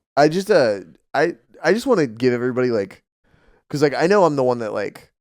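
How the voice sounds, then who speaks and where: Loud and very fast, a man with a fairly high voice swings widely in pitch. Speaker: podcast co-host and musician. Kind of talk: casual chat. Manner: animated.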